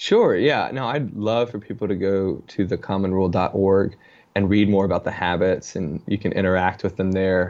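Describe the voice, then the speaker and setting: Over a quiet background, a man with a fairly low pitch and an ordinary speaking voice talks at a moderate pace with fairly even intonation. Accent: American. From Richmond, Virginia. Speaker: author. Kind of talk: casual interview.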